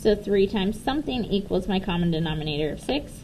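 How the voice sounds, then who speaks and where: Her intonation is lively, and her voice is somewhat breathy. This woman speaks at a medium pitch. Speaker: teacher. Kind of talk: tutorial.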